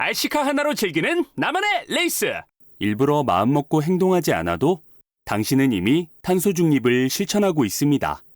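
The voice is a man's, moving at a moderate pace. Its loudness holds very even throughout. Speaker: voice actor. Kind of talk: public service announcement. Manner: calm.

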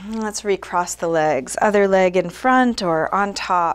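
Pitch variation stays ordinary. The speaker is a woman. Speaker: yoga teacher. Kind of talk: guided class instruction. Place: home room.

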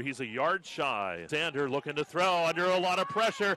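A man with a normal speaking voice and a fairly high pitch comes through with a dry, close sound with no echo. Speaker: football play-by-play commentator. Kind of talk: live sports commentary on a football game, cut into highlights. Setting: broadcast over game footage.

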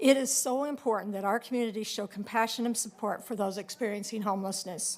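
Using an unremarkable speaking voice, a woman speaks fairly high and fairly quickly with ordinary pitch variation. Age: 60s. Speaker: public commenter. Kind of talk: public testimony. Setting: public meeting.

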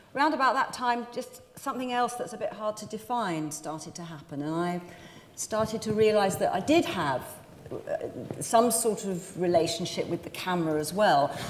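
Female speech over light background noise, with audible echo from the room. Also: moderate pace. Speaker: actress. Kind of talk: interview answer. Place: stage. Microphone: lapel.

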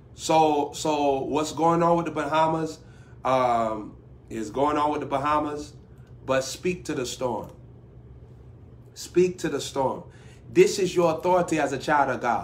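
A man at a fairly slow pace with long, frequent pauses and ordinary pitch variation. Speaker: preacher. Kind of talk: sermon. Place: home room. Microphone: phone near.

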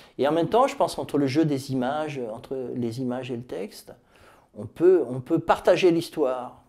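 Against a quiet background, a man with a fairly high pitch and a dark, mellow tone speaks at a moderate pace, with ordinary pitch variation and big swings in loudness. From France, Tours; France. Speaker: author. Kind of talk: interview monologue about his book; interview answer. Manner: hesitant, many fillers. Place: office. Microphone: lapel.

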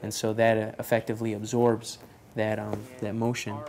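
Light background noise sits behind a man who speaks at a fairly quick pace. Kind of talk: interview answer. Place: workshop.

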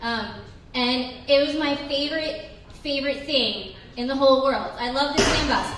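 A woman's voice with audible room echo. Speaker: stand-up comedian. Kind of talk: stand-up comedy routine. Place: bar.

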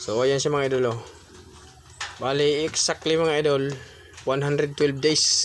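With long, frequent pauses, a man speaks at a very slow pace, his fairly high pitch monotone and flat and his loudness very even. Noticeable background noise runs underneath. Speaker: vlogger raising pigs. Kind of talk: casual vlog narration.

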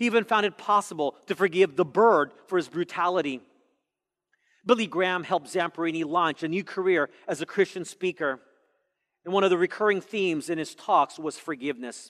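At a fairly quick pace, a man speaks in a high pitch with ordinary pitch variation over a quiet background. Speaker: pastor. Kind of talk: sermon. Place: church. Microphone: headset.

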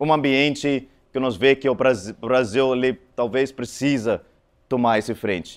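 A man speaks with fairly even intonation. His pace is moderate. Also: quiet background. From South Africa. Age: 40s. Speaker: conference speaker. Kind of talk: conference talk. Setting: stage with audience. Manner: halting. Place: hall. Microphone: handheld.

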